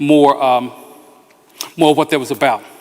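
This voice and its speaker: A man with an American accent talks at a moderate pace. Background noise is noticeable. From Philadelphia, US Northeast. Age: 60s. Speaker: pastor. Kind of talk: talk to a community meeting. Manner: halting, many fillers.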